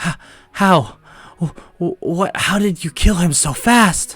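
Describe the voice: A man uses a put-on character voice, high in pitch for a man, with a fairly bright tone, a slightly husky edge and ordinary pitch variation. He speaks at a slow pace while faint music plays in the background.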